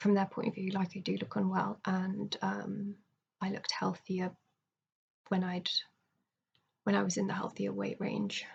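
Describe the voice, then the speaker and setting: Long, frequent pauses break up a woman's speech. Her pace is moderate. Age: 20s. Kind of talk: casual video diary talk to camera. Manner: hesitant, halting, many fillers.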